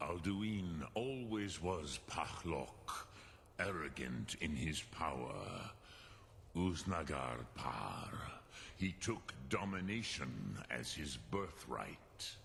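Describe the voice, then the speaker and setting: Over clear background noise, a man uses a put-on character voice, very deep and low, delivered at a very slow pace. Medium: video game. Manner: slow, grave, mixes dragon words.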